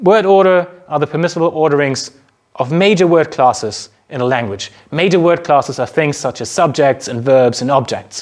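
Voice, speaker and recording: A man with a German accent and lively intonation. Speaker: university lecturer. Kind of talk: lecture.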